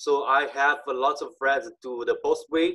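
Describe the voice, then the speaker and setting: A man with a Chinese accent speaks at a fairly slow pace. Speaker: conference speaker on online selling. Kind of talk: conference talk. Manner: halting, many fillers.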